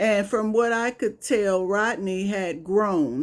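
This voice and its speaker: In an American accent, the speaker moves at a very slow pace with ordinary pitch variation on a very clean recording with a silent background. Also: woman. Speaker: comedian. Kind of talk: storytelling monologue. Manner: casual, conversational.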